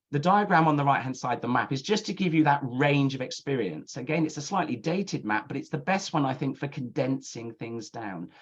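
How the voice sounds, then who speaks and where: Speaking at a fairly quick pace with hardly any pauses, a man uses a fairly high pitch, a somewhat breathy voice, and lively intonation. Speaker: university admissions counsellor. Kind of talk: webinar presentation. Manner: fast.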